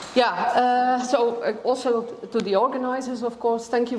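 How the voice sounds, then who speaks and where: A woman speaks at a moderate pace with a fairly high pitch. Noticeable background noise and audible room echo fill the recording. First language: Dutch. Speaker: biology professor. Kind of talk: lecture. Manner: halting, many fillers.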